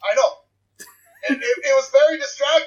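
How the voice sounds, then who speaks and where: Someone with a Canadian accent talks at a very fast pace. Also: man. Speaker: podcast co-host. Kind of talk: casual banter.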